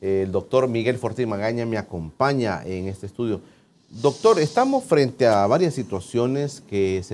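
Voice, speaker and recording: With light background noise, a man speaks at a moderate pace using lively intonation. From El Salvador. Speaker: TV interview host. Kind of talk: TV interview. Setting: studio. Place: studio. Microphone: lapel.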